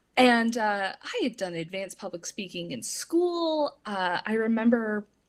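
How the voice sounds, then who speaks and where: Speaking in an ordinary speaking voice at a fairly slow pace, a woman uses lively intonation and big swings in loudness on a very clean recording with a silent background. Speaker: public speaking trainer. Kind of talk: casual interview chat.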